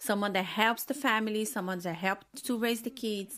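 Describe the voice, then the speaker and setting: A woman speaks with a Portuguese accent in a bright, sharp tone at a fairly high pitch. The recording is very clean, with a silent background. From Brazil. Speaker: film critic. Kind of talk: casual chat. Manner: halting.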